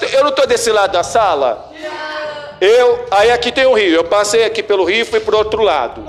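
An animated man's voice, high in pitch, at a moderate pace with ordinary pitch variation over noticeable background noise. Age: 40s. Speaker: philosophy teacher. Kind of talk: classroom lesson. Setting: classroom with students.

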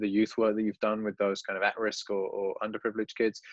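With an English Midlands accent, a man speaks at a fairly low pitch, the sound dry and close with no echo against a quiet background. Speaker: teacher and podcast host. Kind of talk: casual interview.

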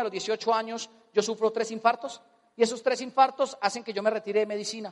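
With an animated tone, a man talks at a high pitch. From Colombia. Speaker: motivational speaker. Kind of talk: motivational seminar talk.

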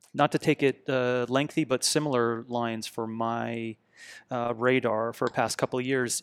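A man with a plain, everyday voice at medium pitch, fairly slow and fairly even in intonation, in a dry, close sound with no echo, on a very clean recording with a silent background. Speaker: fitness coach and company founder. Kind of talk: casual chat.

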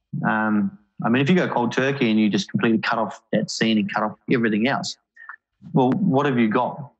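At a fairly quick pace, a man speaks with a medium pitch, lively intonation, and very even loudness. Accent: New Zealand. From New Zealand, Auckland. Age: 30s. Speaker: men's mental health advocate. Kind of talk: casual interview.

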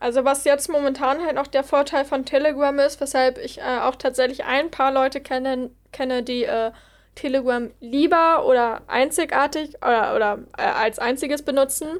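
A woman with a high voice speaks at a moderate pace and fairly even intonation, recorded very cleanly against a silent background. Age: 20s. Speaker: psychology student. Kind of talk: casual chat.

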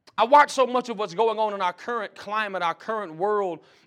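A man with a Mississippi accent, high-pitched, at a very fast pace. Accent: Southern US (Mississippi). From Mississippi, US South. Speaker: pastor and seminary dean. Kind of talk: sermon. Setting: college chapel.

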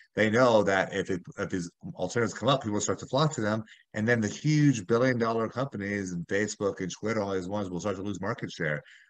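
A man's fairly low voice with an American accent, very fast pace, quiet background. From US South, South Florida (Miami). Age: 30s. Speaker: lawyer. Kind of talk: casual chat.

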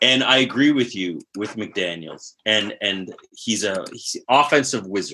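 Animated and bright, sharp in tone, a man talks with a Southwestern Ontario accent. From Southwestern Ontario, Canada. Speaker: fantasy football podcast co-host. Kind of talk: casual chat.

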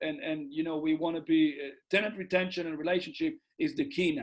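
A man's high voice in an Israeli accent, fairly quick and fairly even in intonation. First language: Hebrew. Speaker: real estate investor. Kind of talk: interview. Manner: halting.

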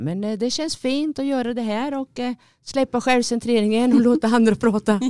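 On a very clean recording with a silent background, a woman speaks at a fairly high pitch in a dark, mellow tone. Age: 50s. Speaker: podcast co-host. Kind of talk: casual chat. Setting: studio.

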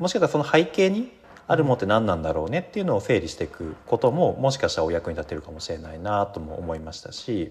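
The delivery is very fast and somewhat breathy. Pitch swings very widely throughout. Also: man, medium pitch for a man. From Japan, Yamanashi. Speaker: workshop facilitator and university lecturer. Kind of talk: casual interview.

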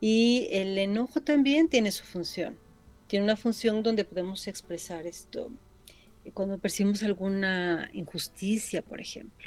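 A normal speaking voice from a woman at medium pitch, with ordinary pitch variation, big swings in loudness, and a fairly slow pace. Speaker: psychologist. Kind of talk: radio interview.

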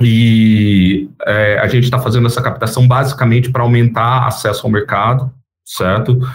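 Somewhat breathy, a man speaks in a monotone with flat intonation. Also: medium pitch for a man, moderate pace. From Brazil, Campinas area (São Paulo state). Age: 40s. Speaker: startup founder and CEO. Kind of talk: interview.

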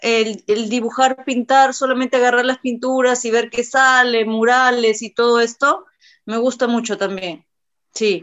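Her intonation is fairly even as this woman speaks at a high pitch. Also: fairly slow pace. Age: 30s. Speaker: tattoo artist and singer. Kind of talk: casual chat.

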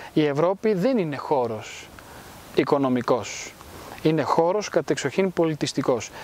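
An ordinary speaking voice, this man's is fairly high-pitched, with lively intonation and very even loudness. He speaks at a fairly slow pace. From Greece, raised in Rome from age 10 to 20. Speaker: cultural institute founder. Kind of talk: interview. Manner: formal.

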